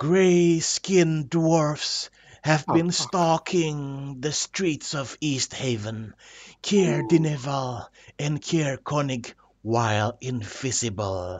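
A man puts on a character voice. It is fairly high in pitch and delivered at a very slow pace. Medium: actual play. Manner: eerie, cryptic, solemn.

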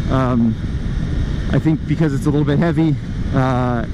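Fairly quick speech from a man amid noticeable background noise. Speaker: motorcycle reviewer. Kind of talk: commentary. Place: motorbike. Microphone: helmet.

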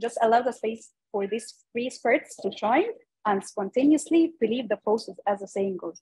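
A woman with an Arabic accent in a dark, mellow tone, fairly high pitched, at a moderate pace with ordinary pitch variation, quiet in the background and dry with no echo. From Egypt. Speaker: young foresight practitioner, panelist; panelist. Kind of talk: online panel discussion. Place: office. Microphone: video call.

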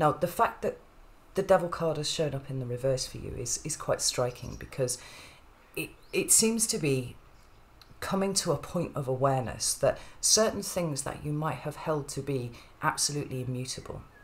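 A woman's very deep, low, somewhat breathy voice at a moderate pace. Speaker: tarot reader. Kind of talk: tarot reading talk. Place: home room.

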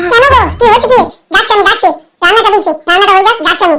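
In a cartoonish character voice, a woman squeaks out words at an extremely high pitch and a very fast pace, her loudness very even. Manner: soft chiding.

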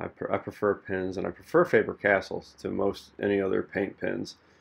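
A soft-spoken man at a moderate pace. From Missouri, USA. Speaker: artist and podcaster. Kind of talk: casual talk to camera while painting. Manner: soft-spoken, relaxed, with hesitations and fillers. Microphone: studio mic.

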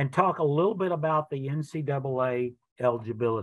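A man's fairly high-pitched, a normal speaking voice, dry with no echo, in a quiet background. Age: 60s. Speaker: college athletics director. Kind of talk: informational webinar presentation. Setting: video webinar. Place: office. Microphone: webcam.

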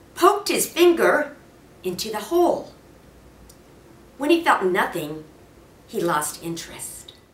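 A woman speaks slowly in a fairly bright tone with big pitch swings, and audible room echo is heard.

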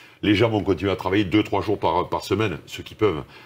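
At a fairly quick pace, the man's words come out somewhat breathy. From France, Toulouse; France. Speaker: corporate executive; interviewee. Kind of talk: interview. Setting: video call. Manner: halting, many repetitions. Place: studio.

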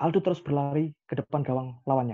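A man's medium-pitched voice at a fast pace, with ordinary pitch variation

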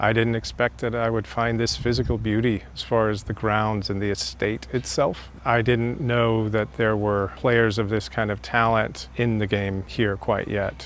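A man in a normal speaking voice talks at fairly low pitch and a moderate pace with fairly even intonation and hardly any pauses, the sound dry with no echo over light background noise. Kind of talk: interview answer. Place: garden. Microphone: lapel.

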